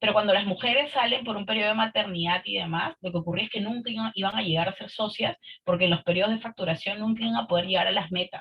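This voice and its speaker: At a very fast pace with hardly any pauses, a woman speaks at a medium pitch with ordinary pitch variation. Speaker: participant in leadership webinar. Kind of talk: online group discussion.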